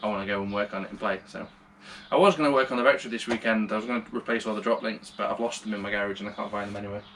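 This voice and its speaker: A man at a fairly low pitch, very fast, in monotone, flat intonation, with noticeable background noise. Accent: British. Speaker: car hobbyist vlogger. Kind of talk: casual vlog tutorial. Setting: home garage. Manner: loud.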